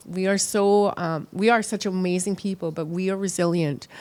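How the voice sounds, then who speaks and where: A woman with a Canadian accent and monotone, flat intonation. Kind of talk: interview.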